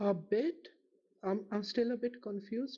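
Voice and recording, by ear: The man speaks at a fairly slow pace with a high pitch, a dark, mellow tone, a slightly husky edge and ordinary pitch variation.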